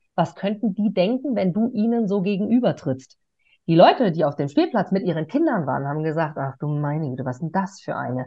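Energetic in tone, a woman with a fairly low, somewhat breathy voice talks at a fairly quick pace with very wide pitch swings. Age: 30s. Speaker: stage host and interviewer. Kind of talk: interview.

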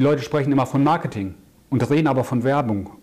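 A man with a normal speaking voice, fairly high pitch, and ordinary pitch variation. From Germany, Ruhr area. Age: 40s. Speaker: crisis and growth consultant. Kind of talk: interview.

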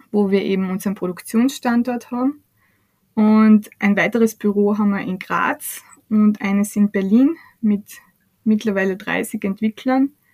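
A woman's somewhat breathy voice, fairly slow and fairly even in intonation, in a dry, close sound with no echo. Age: 30s. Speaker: startup CEO. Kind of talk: podcast interview.

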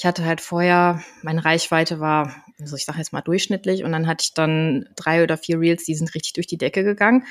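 A woman with a normal speaking voice talks at a fairly quick pace with hardly any pauses, her pitch fairly low with ordinary variation. The sound is dry and close, with no echo. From Germany, Koblenz (Rhineland). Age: 30s. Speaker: health coach. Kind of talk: casual interview. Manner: laughing.

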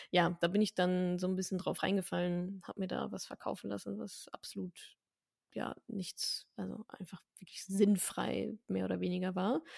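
A woman at a moderate pace, her sound dry and close with no echo. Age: 30s. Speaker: personal finance educator. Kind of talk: interview.

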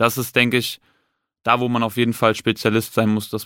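Monotone and flat in intonation, the voice is heard on a very clean recording with a silent background and a dry, close sound with no echo. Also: man. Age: 20s. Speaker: police detective. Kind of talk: casual interview. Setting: studio.

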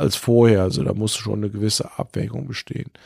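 A man talks at a fairly low pitch with a dark, mellow tone and ordinary pitch variation. The sound is dry and close, with no echo. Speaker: physician. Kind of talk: interview. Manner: hesitant.

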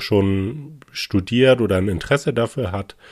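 A man talks at a very slow pace in a fairly low pitch. The recording is very clean, with a silent background. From northern Germany, Hamburg. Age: 30s. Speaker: finance director. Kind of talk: interview.

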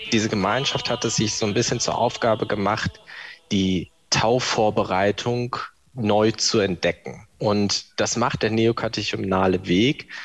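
Over music in the background, a man speaks at a fairly slow pace with a fairly low pitch, fairly even intonation and very even loudness. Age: 20s. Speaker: civil servant. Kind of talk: testimony. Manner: casual.

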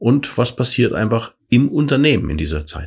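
A man at a fairly slow pace. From Franconia, Germany (Nuremberg). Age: 50s. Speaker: corporate podcast co-host. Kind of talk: casual chat. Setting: company office.

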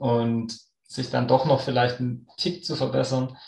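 Vocal fry in a man's medium-pitched voice, fairly slow in pace and fairly even in intonation. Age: 30s. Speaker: sports scientist and runner. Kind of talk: podcast interview.

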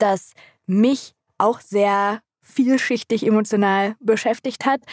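Here is an unremarkable speaking voice from a woman, fairly high in pitch with ordinary variation. The sound is dry and close, with no echo. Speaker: podcast co-host, book talk. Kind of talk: casual chat.

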